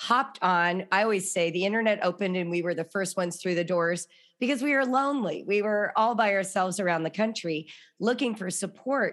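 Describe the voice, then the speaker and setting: In an ordinary speaking voice, a woman talks at a fairly quick pace and medium pitch with ordinary pitch variation. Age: 60s. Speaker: author and homeschooling parent. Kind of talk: interview.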